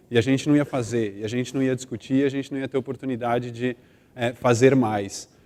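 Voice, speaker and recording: With a São Paulo accent, a man speaks in a dark, mellow tone with monotone, flat intonation. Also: medium pitch for a man, fairly quick pace. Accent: São Paulo (paulistano). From Brazil, São Paulo. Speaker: corporate brand manager. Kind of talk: conference talk.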